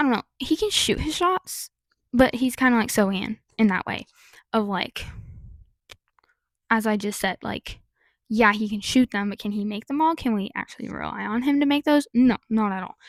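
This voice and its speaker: A woman talks at a fairly high pitch with ordinary pitch variation, leaving long, frequent pauses. The recording is very clean with a silent background and a dry, close sound with no echo. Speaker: sports youtuber. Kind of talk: casual vlog commentary. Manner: fast.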